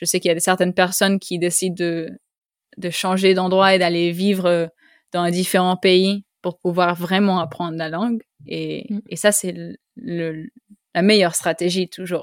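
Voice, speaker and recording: A woman speaks at a fairly slow pace with monotone, flat intonation. The sound is dry and close, with no echo. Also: medium pitch for a woman, very clean recording, silent background. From Costa Rica. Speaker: podcast host. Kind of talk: interview. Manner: halting.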